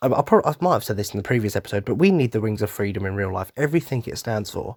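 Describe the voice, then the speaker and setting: A man with a British accent speaks in a fairly low voice. The recording is very clean, with a silent background. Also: dry, close sound with no echo. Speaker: podcast host. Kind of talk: casual monologue. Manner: animated.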